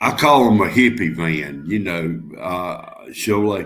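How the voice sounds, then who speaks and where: With a Southern US accent, a man with a fairly low pitch speaks at a very slow pace and with lively intonation, with audible room echo. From North Carolina. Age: 60s. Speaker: guest on a live stream. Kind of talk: casual chat.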